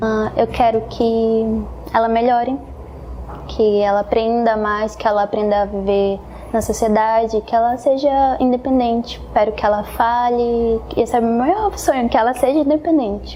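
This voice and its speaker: Over noticeable background noise, a woman talks at a moderate pace in a fairly high pitch, with fairly even intonation and very even loudness. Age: 20s. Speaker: young mother interviewed in documentary. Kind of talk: documentary interview testimony. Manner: halting, with fillers.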